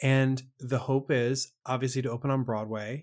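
A man with a normal speaking voice, fairly high pitch and a moderate pace, on a very clean recording with a silent background. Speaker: podcast host. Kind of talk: casual interview.

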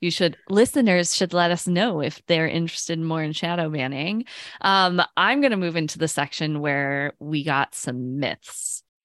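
A woman with a normal speaking voice talks at a moderate pace, with a fairly low pitch and hardly any pauses, recorded with a dry, close sound and no echo. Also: ordinary pitch variation, very clean recording, silent background. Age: 30s. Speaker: podcast co-host, project manager. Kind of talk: casual chat.

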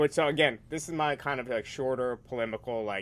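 With an American accent, a man talks at a fairly quick pace in a normal speaking voice with ordinary pitch variation. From New York. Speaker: magazine editor and author. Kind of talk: casual discussion.

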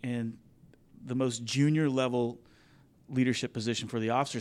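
An ordinary speaking voice from a man with an American accent, medium in pitch, at a fairly quick pace with fairly even intonation, in a very clean recording with a silent background. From Kansas, Wichita. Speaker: commercial pilot, Marine veteran and business podcaster. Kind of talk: interview conversation.

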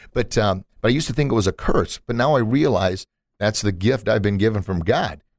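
Recorded very cleanly over a silent background, a man with a fairly low pitch speaks in an animated tone with lively intonation. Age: 40s. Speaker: podcast host and martial arts instructor. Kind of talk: casual interview. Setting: studio.

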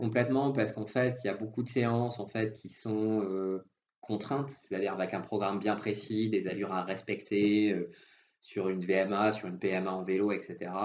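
Speaking at a moderate pace, a man with a plain, everyday voice keeps fairly even intonation at a fairly low pitch. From southwest France. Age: 30s. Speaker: industrial risk engineer and amateur triathlete. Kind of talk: interview. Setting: phone call.

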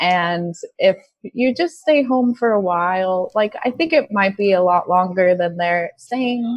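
A woman in a normal speaking voice with an American accent talks at a fairly slow pace, with a medium pitch and lively intonation. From United States. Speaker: online teacher in quarantine. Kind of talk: casual interview.

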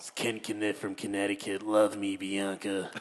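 A man uses a put-on character voice, fairly low in pitch with monotone, flat intonation, over clear background noise. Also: moderate pace. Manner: creepy, leering.

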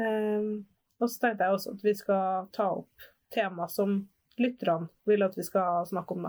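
A woman with a normal speaking voice talks at a fairly slow pace in a medium pitch, with fairly even intonation and big swings in loudness, in a very clean recording with a silent background. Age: 20s. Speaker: podcast host and sex shop worker. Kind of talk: casual chat.

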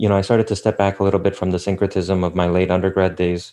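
A man with an American accent speaks in a dark, mellow tone at a fairly low pitch. His intonation is monotone and flat, and the background is quiet. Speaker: theologian. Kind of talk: interview conversation.

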